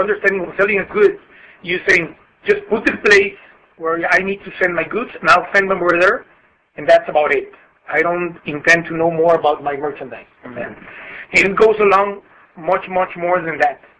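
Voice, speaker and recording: A man speaks with a Spanish accent and a high pitch. His intonation is fairly even, broken by long, frequent pauses. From Mexico. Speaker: customs broker. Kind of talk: webinar presentation. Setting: conference call. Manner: halting.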